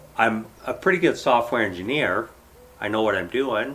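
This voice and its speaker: A man talks at a moderate pace. His is an unremarkable speaking voice. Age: 50s. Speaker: software engineer. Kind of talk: casual chat.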